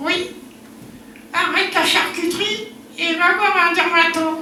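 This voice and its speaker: Putting on a playful character voice pitched extremely high, a man speaks at a fairly slow pace over clear background noise with a slight echo. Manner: cheeky, playful.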